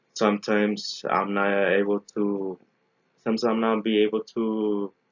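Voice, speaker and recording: A man's fairly low voice in a Spanish accent, with monotone, flat intonation. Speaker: engineering graduate student. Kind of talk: recorded class presentation. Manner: halting, many self-corrections.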